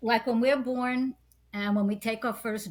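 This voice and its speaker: The voice is somewhat breathy. It belongs to a woman talking at a fairly slow pace. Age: 80s+. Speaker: psychic healer and artist. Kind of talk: interview conversation.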